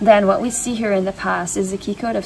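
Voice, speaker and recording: Amid noticeable background noise, a woman talks at a moderate pace and a medium pitch. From Belgium. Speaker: spiritual channeler. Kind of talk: channeled reading.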